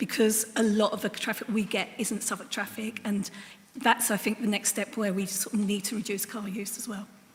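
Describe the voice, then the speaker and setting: Over noticeable background noise, a woman talks at a moderate pace in a fairly high pitch, her intonation flat and monotone. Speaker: council cabinet member. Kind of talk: council meeting question.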